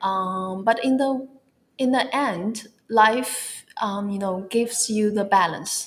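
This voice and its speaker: Speaking at a very slow pace, a woman with a Chinese accent uses a medium pitch with ordinary pitch variation. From China. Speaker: wellness influencer. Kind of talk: interview.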